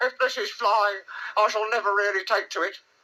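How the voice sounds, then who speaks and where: A squeaky, put-on character voice at a fairly high pitch moves along at a fairly quick pace. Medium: read story. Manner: nervous, stammering.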